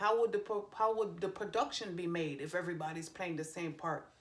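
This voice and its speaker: Speaking with a Jamaican accent, a woman keeps a moderate pace and ordinary pitch variation. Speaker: tarot reader and psychic medium. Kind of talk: tarot reading video; reading aloud from card guidebook. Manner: casual, self-correcting.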